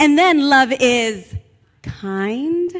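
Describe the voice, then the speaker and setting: Loud speech with very wide pitch swings. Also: woman. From Latin American heritage. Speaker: pastor. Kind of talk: sermon. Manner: animated.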